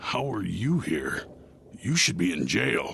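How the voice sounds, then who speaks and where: A man puts on a raspy character voice with a very deep, low pitch and very wide pitch swings, speaking at a fairly slow pace. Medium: video game. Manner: smug, insinuating.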